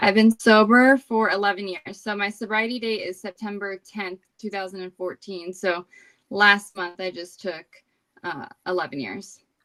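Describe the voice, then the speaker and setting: A woman with an American accent speaks at a moderate pace in a bright, sharp, medium-pitched voice with ordinary pitch variation and big swings in loudness, recorded with a dry, close sound and no echo. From New Jersey. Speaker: recovering alcoholic sharing her story. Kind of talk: recovery testimony in interview.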